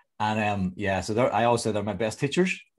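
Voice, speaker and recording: Talking at a very fast pace with ordinary pitch variation, a man with a Northern Irish accent is heard on a very clean recording with a silent background. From Northern Ireland, near Belfast. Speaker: executive and team coach, author. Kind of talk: interview.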